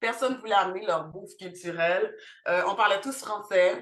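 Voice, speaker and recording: A woman is talking. Her pace is moderate. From Montreal, Quebec, with teen years in Haiti. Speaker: cultural centre founder. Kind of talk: podcast interview. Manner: many hesitations (euh).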